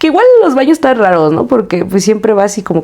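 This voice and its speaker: A woman's words come at a very fast pace, with noticeable background noise behind her. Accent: Mexico City. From Mexico City. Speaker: podcast co-host. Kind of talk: casual chat. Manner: animated.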